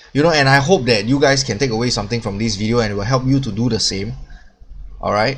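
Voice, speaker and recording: A man talks at a very fast pace in a somewhat breathy, medium-pitched voice with ordinary pitch variation, and room echo is audible. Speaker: crypto YouTuber. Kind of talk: casual video monologue. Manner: filler-heavy, halting.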